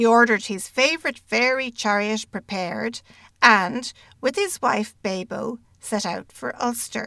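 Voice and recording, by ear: The pitch rises and falls in an ordinary way. This is someone reading aloud in a natural voice.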